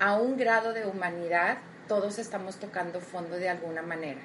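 A woman speaks at a moderate pace in a warm, enthusiastic tone. Noticeable background noise and audible room echo come through. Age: 30s. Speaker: motivational podcast host. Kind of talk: motivational talk.

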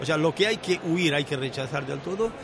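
Background noise is noticeable throughout. The male speaker's pitch runs fairly high. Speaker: veteran scuba diver. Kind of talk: round-table chat.

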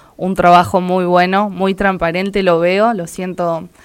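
The woman's intonation is monotone and flat. She talks at a fairly slow pace and medium pitch. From Argentina, Entre Ríos. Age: 20s. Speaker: local political candidate. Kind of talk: interview.

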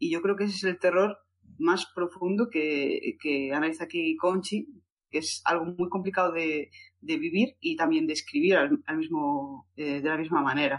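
A woman with an unremarkable speaking voice, fairly low in pitch, at a moderate pace with ordinary pitch variation. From Galicia, Spain (A Coruña). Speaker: book podcast co-host. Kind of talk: casual chat.

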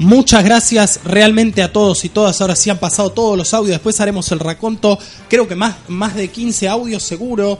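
Moderate-paced speech in a Rioplatense accent, with hardly any pauses over noticeable background noise. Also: man, high pitch for a man. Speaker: radio show host. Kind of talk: live radio talk. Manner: animated.

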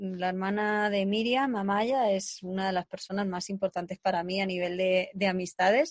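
With an ordinary speaking voice, a woman at medium pitch talks at a moderate pace with fairly even intonation and hardly any pauses, the sound dry and close with no echo. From Spain, Segovia. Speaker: podcast host. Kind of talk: casual interview.

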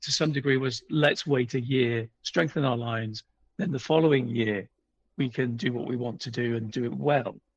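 Speaking at a moderate speed, the man has a British accent. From UK. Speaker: author and history publisher. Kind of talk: interview.

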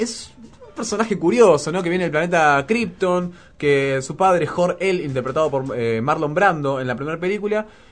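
There is noticeable background noise as a man with a high-pitched voice talks at a moderate pace. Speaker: radio host. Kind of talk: casual radio chat.

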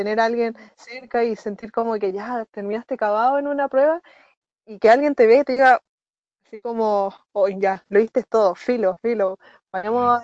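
The speaker has a Chilean accent, a moderate pace and fairly even intonation. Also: woman, fairly high pitch for a woman. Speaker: university student. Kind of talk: casual chat.

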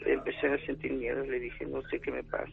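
Noticeable background noise accompanies the fairly quick delivery. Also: man. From Puebla, Mexico. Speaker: caller. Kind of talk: testimony.

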